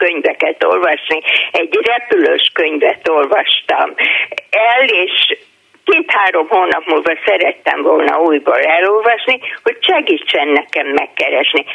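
Fairly slow female speech amid noticeable background noise. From Budapest. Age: 70s. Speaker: retired teacher. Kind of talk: casual chat. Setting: phone call.

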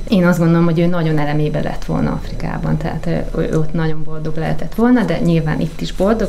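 Words come at a very fast pace with hardly any pauses. Noticeable background noise and audible room echo are present. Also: woman. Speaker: widow of a conservationist, co-author of a book. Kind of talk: interview.

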